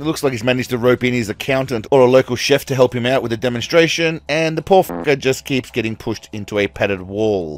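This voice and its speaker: With an Australian accent, a man talks at medium pitch with lively intonation and hardly any pauses, in a dry, close sound with no echo. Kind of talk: comedic commentary narration. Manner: sarcastic, humorous.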